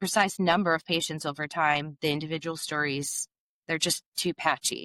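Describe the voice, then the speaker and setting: In a very clean recording with a silent background and a dry, close sound with no echo, a woman talks at a moderate pace in a bright, sharp tone. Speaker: podcast host. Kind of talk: reading researched script in casual chat.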